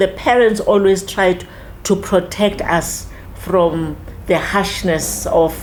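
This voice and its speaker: Noticeable background noise sits behind a woman with a fairly low pitch. She speaks at a very slow pace with ordinary pitch variation. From South Africa, Soweto (Mofolo). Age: 70s. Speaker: community elder in a civic discussion. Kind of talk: casual discussion / interview.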